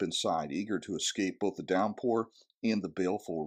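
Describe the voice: Plain reading aloud with ordinary pitch variation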